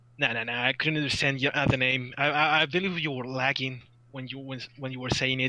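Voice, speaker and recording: Over noticeable background noise, a man with a Spanish accent talks at a fairly quick pace, medium in pitch, with fairly even intonation. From Colombia, Barranquilla. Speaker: caller. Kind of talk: live call-in chat. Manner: halting, repeats words.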